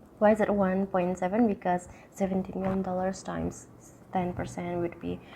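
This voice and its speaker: A woman talks at a fairly slow pace with an Indonesian accent. Her voice sits at a medium pitch and is somewhat breathy. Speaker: university student. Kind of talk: tutorial. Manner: occasional stutter.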